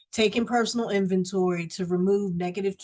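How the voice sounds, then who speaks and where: A somewhat breathy woman at a moderate pace, with fairly even intonation. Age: 60s. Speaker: recovering alcoholic sharing her story. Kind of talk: recovery meeting testimony. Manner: hesitant, with frequent fillers.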